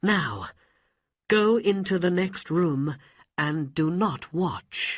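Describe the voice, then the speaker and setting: In a put-on character voice at a middle pitch, the speaker goes at a very slow pace on a very clean recording with a silent background. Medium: read story. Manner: firm, decisive.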